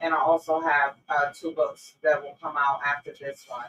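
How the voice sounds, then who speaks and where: Delivered at a fairly slow pace in a New York accent, the speech has a dry, close sound with no echo. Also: woman. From New York, Brownsville (Brooklyn). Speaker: author. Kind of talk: interview.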